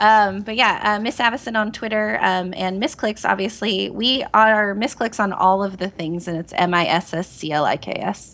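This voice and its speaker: Here is an ordinary speaking voice: a woman at medium pitch with ordinary pitch variation. She keeps a moderate pace with hardly any pauses, over a quiet background. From Oregon, US. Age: 30s. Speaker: online gaming community cofounder. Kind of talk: casual chat. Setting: phone call.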